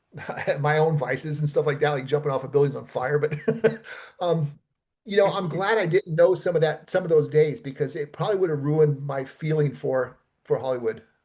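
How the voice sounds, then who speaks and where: Somewhat breathy, fairly quick speech with an American accent. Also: man, fairly high pitch for a man, ordinary pitch variation. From Los Angeles, US West Coast. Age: 60s. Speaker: stuntman and film producer. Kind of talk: interview conversation. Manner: casual, many fillers and repetitions.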